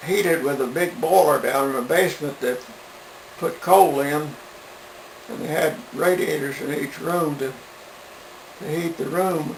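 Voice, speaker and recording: A man with an American accent at a fairly slow pace, long, frequent pauses and ordinary pitch variation, over noticeable background noise. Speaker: elderly man recalling the Depression era. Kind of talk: interview answer.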